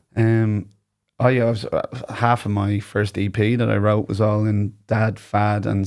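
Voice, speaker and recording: In a very clean recording with a silent background, a man with a fairly low pitch speaks with an Irish accent. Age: 30s. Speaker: singer-songwriter. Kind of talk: casual chat. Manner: halting.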